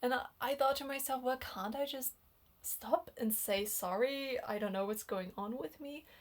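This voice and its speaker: Her voice is high-pitched for a woman, with ordinary pitch variation. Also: moderate pace. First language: not English. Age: 20s. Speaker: dating and relationship vlogger. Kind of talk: personal storytelling monologue. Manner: casual, hesitant with fillers.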